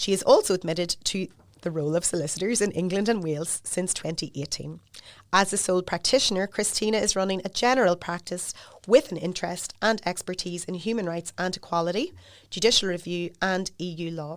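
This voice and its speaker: A woman's medium-pitched voice with a Northern Irish accent, at a fairly quick pace with ordinary pitch variation, on a very clean recording with a silent background. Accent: Newry. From Northern Ireland, Newry. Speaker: podcast host, lawyer. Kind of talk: podcast interview.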